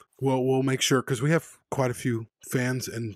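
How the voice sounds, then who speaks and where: Dry, close sound with no echo, carrying an unremarkable speaking voice from a man at medium pitch and moderate pace. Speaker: podcast host. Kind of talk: casual chat.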